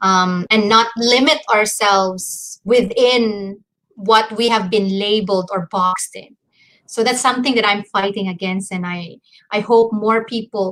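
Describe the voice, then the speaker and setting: Speaking at a fairly slow pace, a woman keeps a medium pitch and fairly even intonation. Her tone is bright and sharp. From Mindanao, Philippines. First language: a Visayan language, not Filipino. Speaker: dance artist and researcher. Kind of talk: interview conversation.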